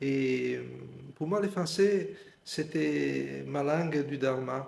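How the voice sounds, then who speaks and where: Here a man with a fairly high pitch sounds somewhat breathy. He talks at a very slow pace with ordinary pitch variation. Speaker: meditation teacher. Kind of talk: guided meditation. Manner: halting.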